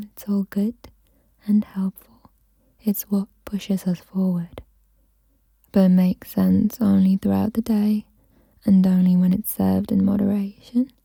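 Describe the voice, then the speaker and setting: Soft-spoken and somewhat breathy, a woman talks fairly slowly at a medium pitch in a dark, mellow tone with monotone, flat intonation, the sound dry and close with no echo. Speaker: mental health YouTuber making ASMR. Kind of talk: ASMR soft-spoken relaxation guidance. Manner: soft-spoken, calming.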